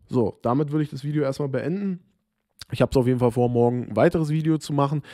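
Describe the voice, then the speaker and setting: A man has a dark, mellow tone and ordinary pitch variation. The background is quiet. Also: dry sound with no echo. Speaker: football vlogger. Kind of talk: solo commentary video. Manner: informal, chatty, opinionated. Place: home room. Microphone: studio mic.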